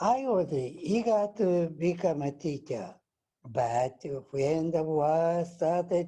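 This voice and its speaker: A man's high-pitched voice with a Japanese accent, a dark, mellow tone, lively intonation and a very slow pace. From Japan, Nagasaki. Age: 80s+. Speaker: atomic bomb survivor. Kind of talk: testimony.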